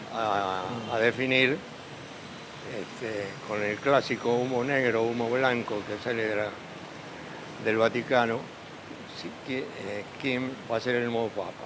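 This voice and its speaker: A man with a Rioplatense accent speaks at medium pitch and a fairly slow pace in a flat monotone. Noticeable background noise and audible room echo are present. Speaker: pope's former schoolmate. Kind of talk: interview. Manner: halting.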